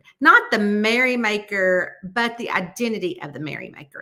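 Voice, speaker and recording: Speaking at a moderate pace, a woman has a bright, sharp tone and a Southern US accent. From Southern United States. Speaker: mystery author. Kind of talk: audiobook-style reading of a novel chapter.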